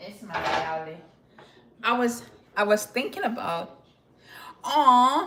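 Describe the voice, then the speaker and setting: In a Jamaican accent, the voice moves very slowly with long, frequent pauses, very wide pitch swings and big swings in loudness, amid audible room echo and noticeable background noise. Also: woman, fairly high pitch for a woman. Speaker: lifestyle vlogger. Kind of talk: casual live stream chat. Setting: live stream. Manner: conversational, chatty.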